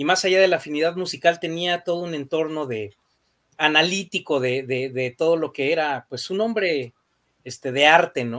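Against a quiet background, a man with a Mexican accent talks at a fairly high pitch. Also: ordinary pitch variation, moderate pace. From Mexico. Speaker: rock music panelist; panelist. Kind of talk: casual chat. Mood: enthusiastic, nostalgic. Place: home room.

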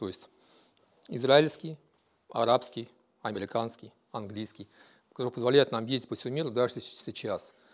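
With a quiet background, a man speaks at a medium pitch and moderate pace, showing ordinary pitch variation, big swings in loudness, and long, frequent pauses. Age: 50s. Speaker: business owner. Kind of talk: self-presentation. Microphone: lapel.

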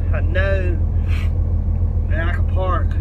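A man is talking. Loud background noise fills the recording. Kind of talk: casual vlog chat. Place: car.

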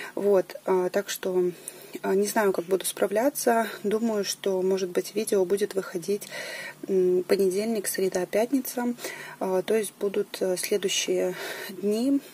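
A woman speaks at a very slow pace with fairly even intonation and very even loudness. Light background noise can be heard. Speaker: knitting vlogger. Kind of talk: casual vlog chat. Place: home room. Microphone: camera far.

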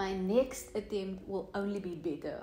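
A woman talks in a South African accent. There is audible room echo and light background noise. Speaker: beauty YouTuber. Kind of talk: casual vlog talk to camera. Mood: upbeat, satisfied. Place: home room.

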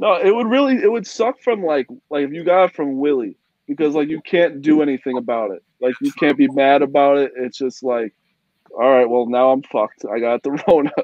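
The speech moves at a fairly quick pace. The sound is dry with no echo, over a quiet background. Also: man. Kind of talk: casual chat. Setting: video call. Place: home room. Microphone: video call.

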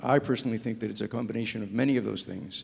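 A man is talking. His intonation stays fairly even. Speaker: panelist. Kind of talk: panel discussion answer. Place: hall. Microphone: handheld.

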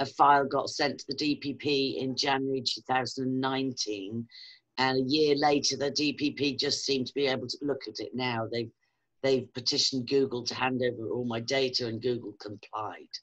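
A woman's very deep, low voice at a moderate pace, monotone and flat, over a quiet background. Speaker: online video host. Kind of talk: interview. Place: home room. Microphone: webcam.

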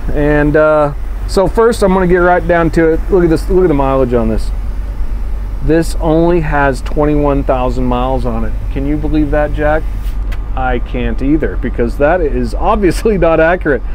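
A man talks at a moderate pace with very even loudness. There is light background noise. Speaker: bus sales walkthrough host. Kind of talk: casual product walkthrough. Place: bus. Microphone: camera far.

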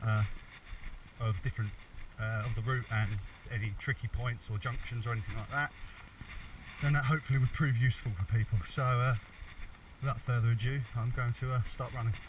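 Over noticeable background noise, a man talks at a fairly quick pace. His intonation is fairly even, and the sound is dry with no echo. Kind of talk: casual vlog chat. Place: forest. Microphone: phone near.

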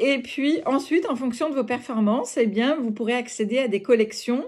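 Against a quiet background, a woman talks at a fairly slow pace. Her pitch is high. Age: 50s. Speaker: home-sales fashion consultant. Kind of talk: recruitment pitch video. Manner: hesitant, many filler sounds. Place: home room. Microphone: phone near.

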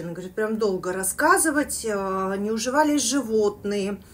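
The woman talks at a moderate pace. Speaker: eating vlogger. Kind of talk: casual vlog chat, storytelling. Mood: animated, telling spooky story. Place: kitchen. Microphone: phone near.

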